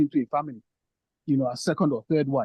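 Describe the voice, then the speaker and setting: A man's fairly high, somewhat breathy voice at a very fast pace with ordinary pitch variation. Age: 50s. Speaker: priest. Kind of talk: panel discussion contribution. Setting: online forum. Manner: halting, many repetitions.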